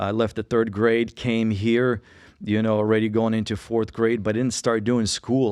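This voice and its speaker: With a Russian accent, a man speaks at medium pitch against a quiet background. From Russia, moved to Colorado at age 9. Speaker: podcast co-host sharing testimony. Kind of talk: testimony.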